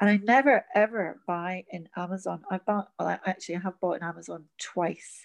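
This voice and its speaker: Fairly quick speech with hardly any pauses and ordinary pitch variation, in a dry, close sound with no echo over a quiet background. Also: woman, medium pitch for a woman. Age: 60s. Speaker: teacher and workshop facilitator. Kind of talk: casual chat. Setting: remote recording from home during lockdown.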